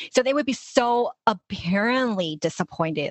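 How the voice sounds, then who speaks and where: Using a plain, everyday voice with an American accent, a woman speaks fairly slowly with lively intonation. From Los Angeles, US. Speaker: life coach. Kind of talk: interview conversation.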